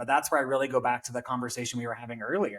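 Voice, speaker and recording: At a very fast pace, a man talks in an animated tone at medium pitch. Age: 30s. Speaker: educator and wellness speaker. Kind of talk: casual chat.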